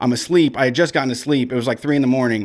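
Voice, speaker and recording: In a very clean recording with a silent background, a man uses a normal speaking voice at a medium pitch with ordinary pitch variation. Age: 30s. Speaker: radio show host. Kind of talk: casual chat. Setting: radio studio.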